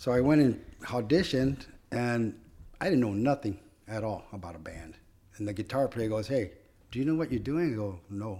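With an American accent, a man speaks at a moderate pace in a dark, mellow tone with lively intonation, on a very clean recording with a silent background. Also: medium pitch for a man. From Oxnard, California. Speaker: musician and longtime warehouse worker. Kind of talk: casual chat.

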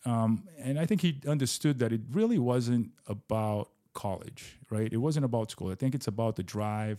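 A man with a Portuguese accent speaks at a medium pitch in a dark, mellow tone, with ordinary pitch variation. He keeps a moderate pace with hardly any pauses, on a very clean recording with a silent background. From Brazil. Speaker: business founder and real estate investor. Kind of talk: casual interview.

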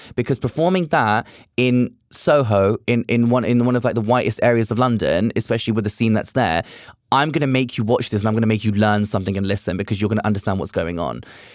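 In a very clean recording with a silent background, a man with a British accent talks at a very fast pace, medium in pitch with ordinary pitch variation. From UK. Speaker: drag performer. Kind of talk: casual chat. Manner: animated.

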